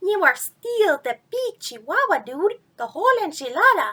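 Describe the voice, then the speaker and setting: A put-on character voice with a Spanish accent sounds playful, at an extremely high pitch with very wide pitch swings. The pace is moderate. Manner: playful, boastful.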